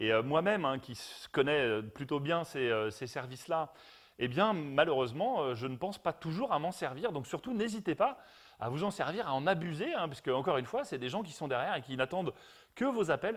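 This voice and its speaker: Over a silent background in a very clean recording, a man speaks with a fairly high pitch. His pace is fairly quick and his pitch swings very widely. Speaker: brand product expert. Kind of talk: live stream Q&A. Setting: home garage turned studio. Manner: hesitant, many fillers.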